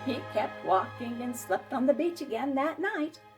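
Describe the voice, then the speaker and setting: Over music in the background, a woman speaks at a fairly slow pace with very wide pitch swings. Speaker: storyteller. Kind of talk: children's story read-aloud.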